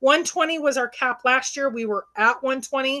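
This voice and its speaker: A woman speaks with a bright, sharp tone at a high pitch. Her pitch varies in an ordinary way. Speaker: treasure hunt convention organizer. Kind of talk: livestream announcement chat. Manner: fast.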